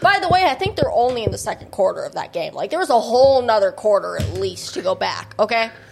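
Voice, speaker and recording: Pitch moving very widely up and down, with noticeable background noise. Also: woman. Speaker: podcast co-host. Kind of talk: casual chat. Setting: studio.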